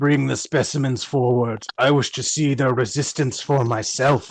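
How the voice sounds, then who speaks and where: The voice is a booming, put-on character voice at a low-to-middle pitch. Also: moderate pace. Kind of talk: imperious. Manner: booming, commanding.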